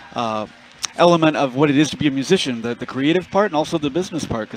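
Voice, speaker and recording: A man with an American accent speaks very fast and fairly high in pitch, noticeable background noise behind him. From Los Angeles, US. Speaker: jazz musician, bandleader. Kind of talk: radio interview. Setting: backstage at festival.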